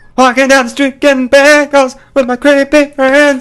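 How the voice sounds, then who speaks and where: A put-on character voice, high-pitched and monotone with flat intonation, moves at a moderate pace. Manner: creepy.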